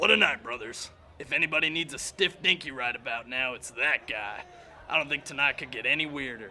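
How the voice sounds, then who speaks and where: Clear background noise sits behind a man doing a raspy, put-on character voice at medium pitch and a fairly quick pace. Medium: audio drama. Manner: laid-back, calls everyone brother.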